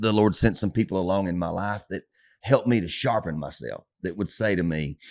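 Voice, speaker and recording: A man at a fairly quick pace with ordinary pitch variation against a quiet background. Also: fairly low pitch for a man. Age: 50s. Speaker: pastor. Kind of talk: casual chat. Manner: fast; loud.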